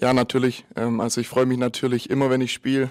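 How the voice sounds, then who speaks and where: Over a quiet background, a man talks at a very fast pace in a monotone, flat intonation. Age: 20s. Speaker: amateur football player and youth coordinator. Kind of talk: post-match interview; interview answer. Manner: halting, many filler sounds. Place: hall. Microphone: handheld.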